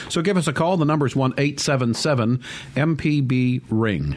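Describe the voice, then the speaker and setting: A man with a fairly high pitch and lively intonation, amid noticeable background noise. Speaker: radio host. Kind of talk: radio call-in show. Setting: studio.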